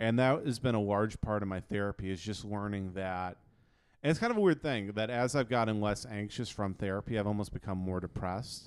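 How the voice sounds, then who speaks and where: Speaking in a normal speaking voice at a fairly quick pace, a man has fairly low pitch and ordinary pitch variation in a very clean recording with a silent background. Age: 20s. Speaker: comedian. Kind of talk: casual chat.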